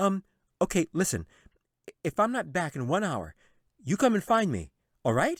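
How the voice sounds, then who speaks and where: Putting on a whiny character voice, a man speaks high for a man at a moderate pace with long, frequent pauses, in a very clean recording with a silent background. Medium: read story. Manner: whiny, flustered.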